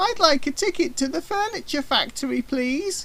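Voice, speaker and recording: A put-on character voice sounds squeaky, high and cheerful. It moves at a moderate pace over light background noise. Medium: read story. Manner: cheerful, innocent.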